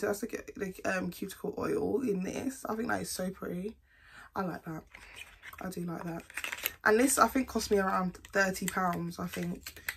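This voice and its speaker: A woman speaks with a British accent and ordinary pitch variation. Noticeable background noise runs underneath. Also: medium pitch for a woman, moderate pace. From UK. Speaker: beauty vlogger. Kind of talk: casual product haul vlog. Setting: at home, recording to camera. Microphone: phone near.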